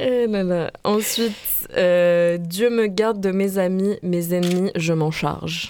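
A woman's medium-pitched, dark and mellow voice at a very slow pace, with hardly any pauses, fairly even intonation and very even loudness. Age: young. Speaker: radio columnist. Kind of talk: radio segment.

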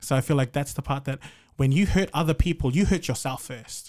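A man with a New Zealand accent speaks fairly quickly at a fairly high pitch. His voice is somewhat breathy and his intonation fairly even. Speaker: podcast guest. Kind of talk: casual chat.

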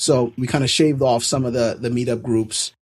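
Somewhat breathy, a man with an American accent speaks at a moderate pace. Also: very clean recording, silent background. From New York City. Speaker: developer community organizer. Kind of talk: interview.

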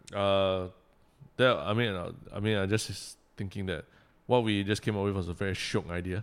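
A man's fairly low, monotone voice at a moderate pace, with long, frequent pauses, in a very clean recording with a silent background. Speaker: comedian and podcast co-host. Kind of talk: casual chat.

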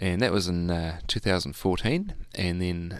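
Against a quiet background, a man with a New Zealand accent talks at a moderate pace, with a very deep, low pitch and fairly even intonation. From New Zealand, Hamilton. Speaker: jazz musician and music tutor. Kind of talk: casual interview.

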